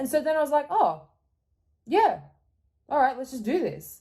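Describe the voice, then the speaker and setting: A woman with an Australian accent speaks in a dark, mellow tone with lively intonation. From Australia, Geelong near Melbourne. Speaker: YouTuber and podcaster. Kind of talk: interview.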